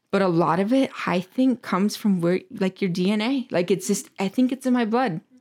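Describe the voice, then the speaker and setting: A woman's medium-pitched voice with ordinary pitch variation, very even loudness, hardly any pauses and a moderate pace, in a very clean recording with a silent background. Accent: American. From Michigan. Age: 20s. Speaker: business owner. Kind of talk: casual interview. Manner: animated.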